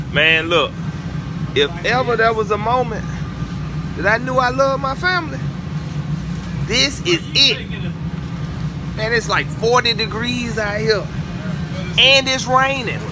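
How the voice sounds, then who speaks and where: Over noticeable background noise, a man speaks at a fairly slow pace with long, frequent pauses. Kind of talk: casual vlog chat. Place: tent. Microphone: phone near.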